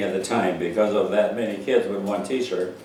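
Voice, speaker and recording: With an Upper Midwest accent, a man speaks at a medium pitch with fairly even intonation amid noticeable background noise and audible room echo. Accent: Upper Midwest American. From North Dakota, Pierce County. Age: 90s. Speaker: war veteran. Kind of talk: oral history interview. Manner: halting.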